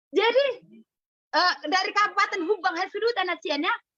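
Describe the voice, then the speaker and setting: An extremely high-pitched woman's voice, raised and projected, animated in tone, with ordinary pitch variation. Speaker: health product seller. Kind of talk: sales training talk.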